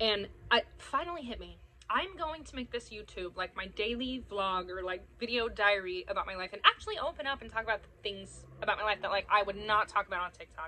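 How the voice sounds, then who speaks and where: At a fairly quick pace, a woman speaks with lively intonation and fairly high pitch. Her loudness swings widely over light background noise. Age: 30s. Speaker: social media content creator. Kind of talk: casual vlog talk. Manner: casual, rambling unscripted talk. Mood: open, chatty, excited. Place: garden. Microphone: phone near.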